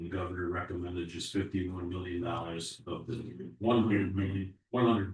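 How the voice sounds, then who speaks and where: Audible room echo carries a man's voice as he talks at a fairly quick pace with ordinary pitch variation. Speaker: school district administrator. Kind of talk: board meeting report. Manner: loud.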